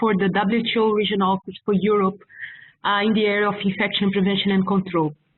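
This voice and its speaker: A woman with a medium pitch speaks with a strong non-native accent. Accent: strong foreign. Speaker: public health officer. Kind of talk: webinar presentation. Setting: online webinar. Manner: halting, many fillers.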